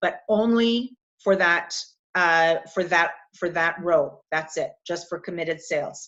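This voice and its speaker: Fairly even intonation from a woman at a medium pitch. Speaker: business coach. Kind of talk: online workshop tutorial. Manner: slow, deliberate.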